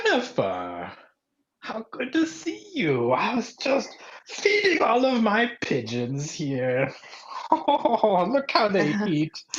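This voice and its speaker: A man uses a put-on character voice with a high pitch. He speaks at a very slow pace. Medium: stage play. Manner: dreamy, whimsical.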